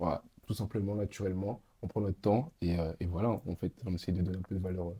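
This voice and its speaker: A man speaks with a very deep, low pitch and a dark, mellow, somewhat breathy tone. He talks at a fairly quick pace with fairly even intonation. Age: 20s. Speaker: podcast host. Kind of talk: casual chat.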